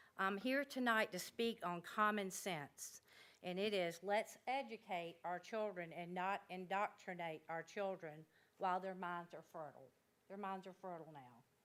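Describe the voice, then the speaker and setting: Her voice is a plain, everyday voice: a woman at medium pitch and a moderate pace, with ordinary pitch variation. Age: 60s. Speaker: member of the public. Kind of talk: public comment. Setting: public meeting room. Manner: informal.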